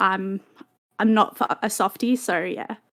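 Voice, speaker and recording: Here is a woman talking. She has an Australian accent. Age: 20s. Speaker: alleged victim telling her story. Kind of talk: testimony. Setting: online voice chat stage. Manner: halting, many fillers.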